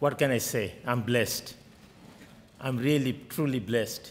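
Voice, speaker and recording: A man with a Bengali accent talks at a fairly slow pace with fairly even intonation. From Bangladesh. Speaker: state senator. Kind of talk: oath and speech. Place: hall. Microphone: podium.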